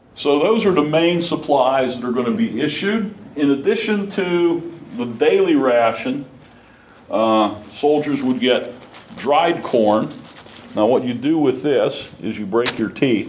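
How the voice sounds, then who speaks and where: With noticeable background noise behind him, a man talks at a fairly slow pace in a fairly high pitch, making very wide pitch swings. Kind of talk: lecture. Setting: talk to a live audience.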